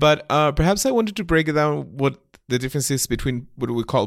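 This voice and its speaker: A man speaks with a Spanish accent in a dry, close sound with no echo. The recording is very clean and the background silent. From Argentina. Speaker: academic clinician and editor. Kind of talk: casual discussion. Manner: halting, hesitant.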